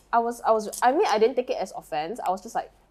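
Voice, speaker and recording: A woman's high-pitched voice in an animated tone. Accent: Malaysian. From Malaysia. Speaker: podcast co-host. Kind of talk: casual chat.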